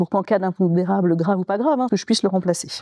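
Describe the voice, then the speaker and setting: A woman speaks at a very fast pace in a dark, mellow tone, with medium pitch and ordinary pitch variation. The sound is dry and close with no echo, over a quiet background. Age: 40s. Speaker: local politician. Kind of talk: interview monologue. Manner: hesitant fillers.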